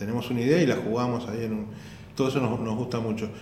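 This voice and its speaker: The speaker has a Rioplatense accent, heard with audible room echo and noticeable background noise. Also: man. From Argentina. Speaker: stand-up comedian. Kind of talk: casual interview. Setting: comedy school room. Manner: halting.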